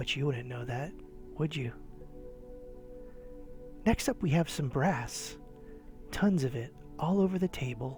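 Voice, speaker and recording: Music plays in the background as the speaker talks at a fairly slow pace. Pitch variation is ordinary, and pauses are long and frequent. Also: man. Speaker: eBay reseller and YouTuber. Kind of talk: casual talk to camera, sarcastic flea market tour. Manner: sarcastic, humorous, whispered ASMR style.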